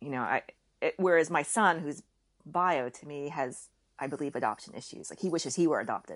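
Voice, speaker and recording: The voice has an American accent and a fairly quick pace. Its loudness swings widely. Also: woman, very deep, low pitch for a woman, ordinary pitch variation. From raised partly in Kuwait by American family. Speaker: podcast guest, Korean adoptee and mother. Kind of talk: casual interview chat.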